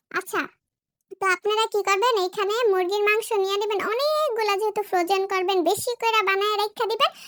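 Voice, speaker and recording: The voice comes at a moderate pace with ordinary pitch variation and very even loudness, in a dry, close sound with no echo. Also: woman, extremely high pitch for a woman. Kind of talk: comic cooking-show parody. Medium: solo performance. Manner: fast, chatty, jokey.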